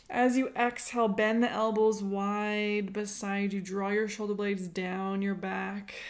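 Amid noticeable background noise, a woman of medium pitch speaks at a fairly slow pace in a calm, soothing tone with monotone, flat intonation and hardly any pauses. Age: 30s. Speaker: podcast host and yoga teacher. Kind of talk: guided breathwork and seated yoga movement instruction. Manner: slow, calm, soothing pacing with cues timed to breaths.

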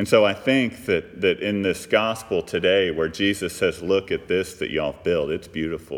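A man with an American accent talks at a moderate pace with hardly any pauses, his loudness swinging widely. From US South, Texas (Fort Worth area). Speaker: pastor. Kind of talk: sermon. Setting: church.

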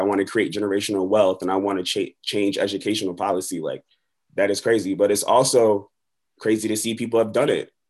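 A man talks at a fairly quick pace in an American accent. The background is quiet. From Buffalo, New York. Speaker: rapper and middle school teacher. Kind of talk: casual interview. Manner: animated.

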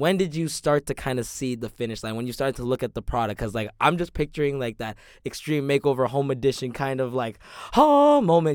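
A man talks in an unremarkable speaking voice at a fairly quick pace. His pitch is medium, with ordinary pitch variation. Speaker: podcast host. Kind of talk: casual chat.

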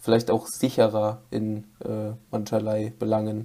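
A man speaks in a dark, mellow tone at a medium pitch. His pace is fairly slow. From North Rhine-Westphalia, Germany. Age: 20s. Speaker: podcast co-host, student. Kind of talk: casual chat.

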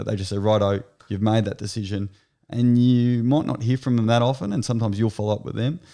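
On a very clean recording with a silent background, a man with an Australian accent talks at a fairly quick pace, his fairly low pitch carrying a dark, mellow tone and fairly even intonation. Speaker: sports agent. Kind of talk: casual interview.

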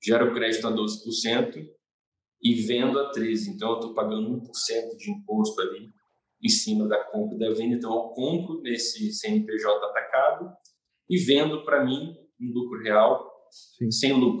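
Here a man speaks fairly slowly at a medium pitch. His pitch swings very widely. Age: 20s. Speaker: construction company owner. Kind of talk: interview. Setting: live stream.

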